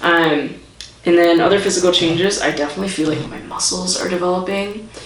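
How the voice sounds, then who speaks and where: A woman with a fairly low pitch talks at a fairly quick pace with fairly even intonation. Audible room echo and noticeable background noise are present. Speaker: vlogger. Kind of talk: vlog update. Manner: casual, hesitant with many fillers.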